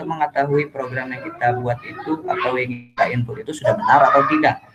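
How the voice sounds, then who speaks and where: Talking at a fairly quick pace, a man is heard over noticeable background noise. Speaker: university student. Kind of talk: tutorial. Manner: soft-spoken; halting. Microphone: too quiet.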